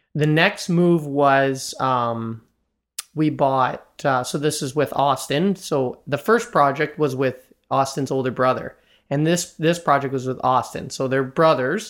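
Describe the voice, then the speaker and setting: With a Canadian accent, a man talks at a fairly slow pace in an unremarkable speaking voice, his fairly high pitch showing ordinary pitch variation on a very clean recording with a silent background. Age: 20s. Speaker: real estate investor and commercial banker. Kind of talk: interview conversation.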